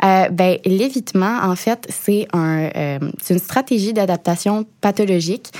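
Speaking at a very slow pace in a Quebec accent, a woman keeps a medium pitch with ordinary pitch variation. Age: 20s. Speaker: TV show host and financial educator. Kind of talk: interview.

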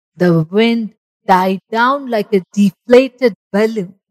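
Behind the voice, the setting is quiet. The speaker reads aloud in a natural voice.

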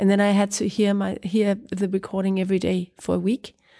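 A woman speaks with a Danish accent on a very clean recording with a silent background. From Greenland and Copenhagen, Denmark. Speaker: writer. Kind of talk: interview. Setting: literature festival. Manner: halting.

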